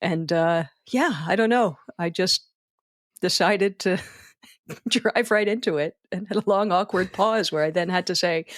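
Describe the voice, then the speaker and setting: A woman in a Philadelphia accent, medium pitch, ordinary pitch variation, long, frequent pauses. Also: moderate pace. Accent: Philadelphia American. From US, Philadelphia. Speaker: wedding speech writer. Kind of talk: podcast interview. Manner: halting.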